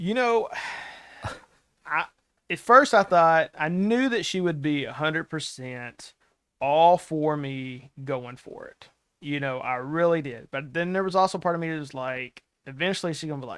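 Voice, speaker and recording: A man talks at a moderate pace in an ordinary speaking voice, fairly high in pitch with lively intonation. His loudness swings widely, and the recording is very clean with a silent background. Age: 40s. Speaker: author and wrestling promoter. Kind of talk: casual chat.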